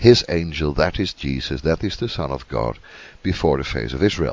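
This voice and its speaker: Here is a man with a Dutch accent. His very deep, low voice has lively intonation. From Netherlands. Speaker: Bible teacher. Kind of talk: Bible teaching talk. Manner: halting with many fillers.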